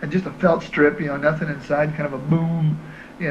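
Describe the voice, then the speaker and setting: A man's voice with noticeable background noise. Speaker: interviewee. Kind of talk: interview answer. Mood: relaxed, friendly. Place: home room. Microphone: handheld.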